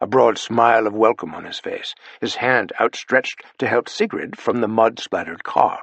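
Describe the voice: The intonation holds fairly even. Someone is doing plain reading aloud.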